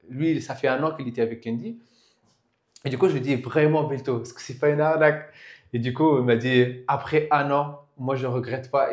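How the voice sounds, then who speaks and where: A man at a medium pitch and moderate pace, with fairly even intonation and big swings in loudness. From Tunisia (Tunis). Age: young. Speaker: IT freelancer, property investor. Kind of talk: casual interview. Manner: halting.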